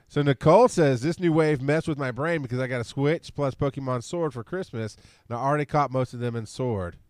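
A man's very fast, playful delivery with ordinary pitch variation, dry and close with no echo, over a quiet background. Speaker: podcast host. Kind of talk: casual chat. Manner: joking, playful.

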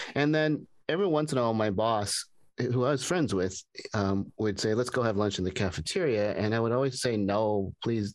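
Lively intonation from a man with an unremarkable speaking voice, medium-pitched, against a quiet background. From US West Coast, Pasadena. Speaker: former professor. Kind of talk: casual chat. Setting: video call.

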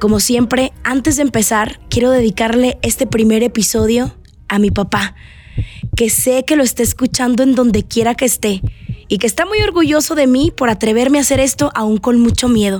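Against noticeable background noise, a woman with a high pitch talks at a moderate pace, with ordinary pitch variation and very even loudness. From Mexico, Sonora (Navojoa). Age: 20s. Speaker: radio presenter and podcaster. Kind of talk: personal monologue podcast.

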